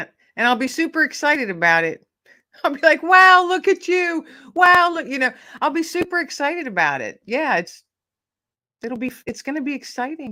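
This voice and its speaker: A woman with a high, bright and sharp voice projects it at a fairly quick pace, using lively intonation with long, frequent pauses. The recording is very clean with a silent background. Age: 50s. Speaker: author and podcast host, guest. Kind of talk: casual interview chat.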